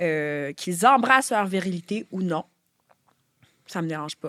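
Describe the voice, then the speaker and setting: Very slowly and with lively intonation, a woman speaks in a Quebec accent, the sound dry and close with no echo. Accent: Québécois. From Quebec, Laurentides. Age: 30s. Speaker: author and filmmaker. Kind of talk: podcast interview.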